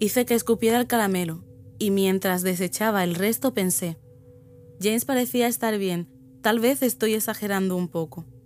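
Music plays in the background while a woman speaks at a moderate pace. Her voice is medium-pitched with ordinary pitch variation. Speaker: creepypasta narrator. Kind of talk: ghost story telling, first-person horror narration.

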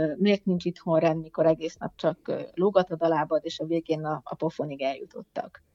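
A woman speaks at a moderate pace in a normal speaking voice, her pitch fairly low. Her intonation stays fairly even. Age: 50s. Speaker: poet and writer, teacher. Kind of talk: casual interview chat.

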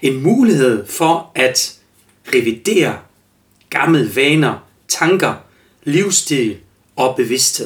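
With lively intonation, a man speaks very slowly in a fairly high voice, leaving long, frequent pauses. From Germany. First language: German (speaking Danish). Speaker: life coach and podcast host. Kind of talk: solo podcast monologue. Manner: halting, many fillers.

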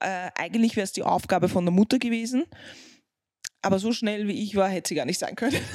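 With a non-native accent, a woman speaks at a very fast pace yet leaves long, frequent pauses, her medium pitch showing ordinary pitch variation. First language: not German (speaking German). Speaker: podcast co-host, parent. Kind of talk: casual chat.

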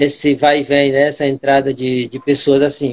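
Heard in a dry, close sound with no echo, a man with a fairly high pitch speaks in a plain, everyday voice at a moderate pace. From Brazil, Ceará coast. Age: 40s. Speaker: schoolteacher and community leader. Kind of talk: interview. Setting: Instagram live stream.

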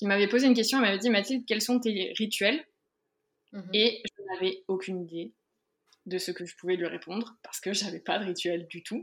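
At a fairly quick pace, a woman talks in a medium-pitched voice with ordinary pitch variation, broken by long, frequent pauses. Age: 20s. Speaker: entrepreneur and photographer. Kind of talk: interview. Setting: office.

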